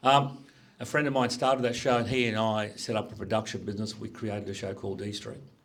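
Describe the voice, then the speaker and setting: Amid audible room echo, a man talks at a very fast pace with a medium pitch and fairly even intonation. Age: 60s. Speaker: business executive. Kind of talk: career talk to students. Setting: school panel with audience.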